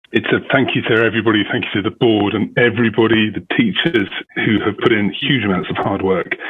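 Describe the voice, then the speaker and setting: A British accent at a fairly quick pace with hardly any pauses and ordinary pitch variation, amid noticeable background noise. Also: man, medium pitch for a man. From United Kingdom. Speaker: parent. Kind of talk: public comment at school board meeting.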